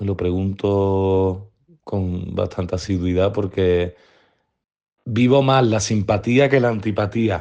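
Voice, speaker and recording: A man with a Sevillian accent speaks at a very slow pace, his tone dark and mellow. His intonation stays fairly even against a quiet background. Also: fairly low pitch for a man. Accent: Sevillian Andalusian. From Seville, Andalusia. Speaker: interviewee. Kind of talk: testimony. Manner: reflective, with hesitations.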